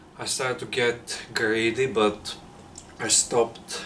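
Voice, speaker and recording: A man with a non-native accent speaks in a fairly low voice. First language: not English. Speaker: fitness vlogger. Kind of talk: casual vlog monologue. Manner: halting, searching for words.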